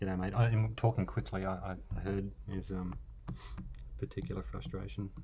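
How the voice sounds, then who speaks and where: The tone is dark and mellow, with vocal fry. Intonation is lively and the pace moderate. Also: man, very deep, low pitch for a man. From Australia. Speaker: artist. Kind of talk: live drawing stream commentary.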